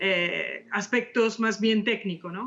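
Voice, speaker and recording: A fairly high-pitched woman with an Italian accent, at a fairly slow pace and with ordinary pitch variation. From Italy. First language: Italian (speaking Spanish). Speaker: architect and author. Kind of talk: interview. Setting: video call. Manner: halting, many fillers.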